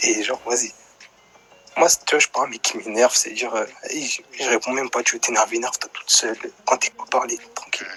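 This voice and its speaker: A soft-spoken man talks at a fairly quick pace with long, frequent pauses, music playing in the background. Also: dry, close sound with no echo. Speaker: live stream caller telling a personal story. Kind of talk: casual chat.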